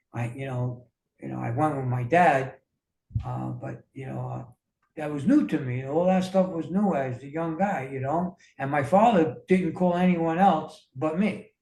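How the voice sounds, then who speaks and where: In an American accent, a man speaks at a fairly high pitch with a dark, mellow, somewhat breathy tone. His pace is fairly slow, with ordinary pitch variation and big swings in loudness. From New York. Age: 60s. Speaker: wellness coach. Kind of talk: interview. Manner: halting, many fillers.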